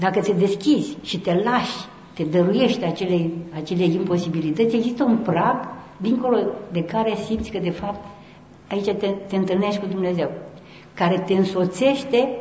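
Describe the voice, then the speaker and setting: A woman of medium pitch speaks at a moderate pace with ordinary pitch variation and long, frequent pauses. The recording carries audible room echo and noticeable background noise. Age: old. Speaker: Orthodox nun and speaker. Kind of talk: conference talk.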